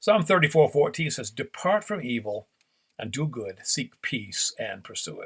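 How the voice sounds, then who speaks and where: A somewhat breathy man at a fairly high pitch, moderate pace, very wide pitch swings and big swings in loudness, in a dry, close sound with no echo. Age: 70s. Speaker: pastor. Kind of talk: sermon.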